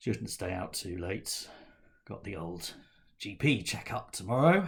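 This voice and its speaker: A man puts on a raspy character voice with a very deep, low pitch and lively intonation. He talks at a fairly slow pace, his loudness swinging widely. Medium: read story.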